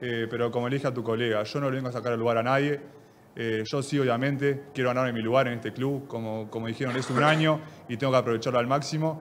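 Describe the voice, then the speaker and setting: Very fast speech with fairly even intonation over light background noise. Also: man, medium pitch for a man. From Uruguay. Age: 20s. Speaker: football player. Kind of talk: press conference. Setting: press room. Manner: halting. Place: meeting room. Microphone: podium.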